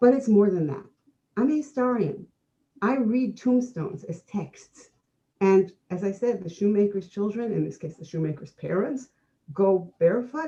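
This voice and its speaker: A woman speaks with lively intonation and a dark, mellow tone that is somewhat breathy. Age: 60s. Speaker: historian, conference co-host. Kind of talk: conference talk.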